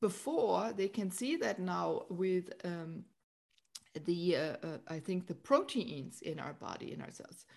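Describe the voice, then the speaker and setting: This woman has an unremarkable speaking voice, pitched fairly low. Her intonation is lively. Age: 50s. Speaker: podcast host and spiritual guide. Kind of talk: casual interview chat. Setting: remote call.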